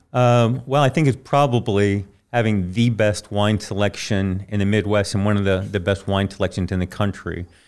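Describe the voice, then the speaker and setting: A man at a moderate pace with hardly any pauses, ordinary pitch variation and very even loudness, in a very clean recording with a silent background. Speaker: sommelier. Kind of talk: casual interview chat. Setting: studio.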